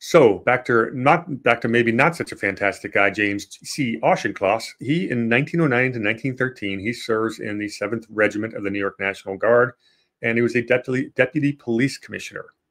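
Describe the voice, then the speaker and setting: A man speaks in a normal speaking voice at medium pitch with ordinary pitch variation, talking at a fairly quick pace with hardly any pauses against a quiet background. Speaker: history podcast host. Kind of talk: casual history discussion.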